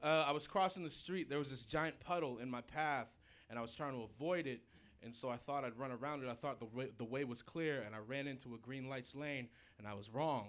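A man's fairly quick speech with an American accent, medium pitch and ordinary pitch variation, an unremarkable speaking voice. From Portland, Oregon. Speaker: stand-up comedian. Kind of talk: stand-up. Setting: stage with audience.

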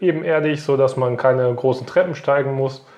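At a moderate pace and with fairly even intonation, a man talks in an unremarkable speaking voice pitched fairly high. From Westphalia, Germany (near Paderborn). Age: 30s. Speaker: local councillor and electrical engineer. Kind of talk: interview.

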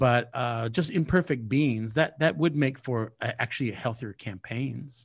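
The voice, somewhat breathy, speaks with an American accent at a fairly slow pace with hardly any pauses. Pitch varies in an ordinary way against a quiet background. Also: man, medium pitch for a man. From California. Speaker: podcast host. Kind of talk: casual political discussion.

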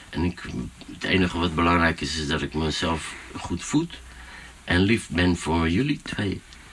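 A man with a very deep, low pitch, ordinary pitch variation, a fairly slow pace and long, frequent pauses. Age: 40s. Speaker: DJ and music producer. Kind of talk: casual chat. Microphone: poorer sound quality.

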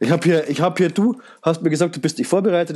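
Quite quickly, a man talks in a dark, mellow tone. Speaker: podcast host. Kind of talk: casual chat.

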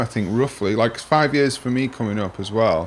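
This is a man speaking with a Sheffield accent. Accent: Sheffield northern English. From Sheffield, northern England. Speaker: podcast host, guitarist. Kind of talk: casual interview chat.

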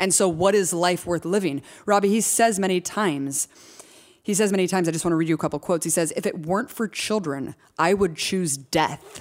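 A woman with a normal speaking voice talks at a fairly quick pace with ordinary pitch variation and very even loudness, on a very clean recording with a silent background. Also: fairly low pitch for a woman. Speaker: podcast host. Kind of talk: casual discussion podcast.

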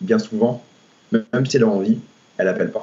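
His pitch rises and falls over a very wide range. The man's voice is somewhat breathy. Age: 20s. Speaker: personal trainer. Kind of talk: podcast interview. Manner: hesitant, many fillers.

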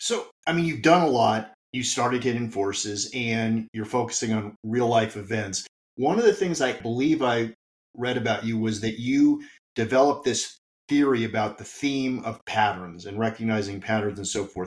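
Here is a man with an ordinary speaking voice. He talks at a moderate pace with ordinary pitch variation. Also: medium pitch for a man. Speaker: podcast host. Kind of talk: interview, conversational.

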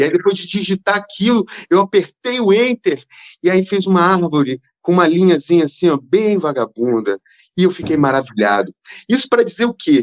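Lively intonation marks this man's high-pitched speech. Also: moderate pace. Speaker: playwright. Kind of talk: casual chat.

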